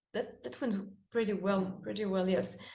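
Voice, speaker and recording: The woman's voice sits at a medium pitch. There is audible echo from the room. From France. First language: French. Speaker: metal band singer. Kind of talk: interview. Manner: halting.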